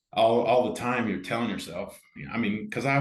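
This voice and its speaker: A man speaks with an American accent. His pitch sits in the medium range. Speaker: amateur pickleball player and organizer. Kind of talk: casual interview chat. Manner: loud; animated.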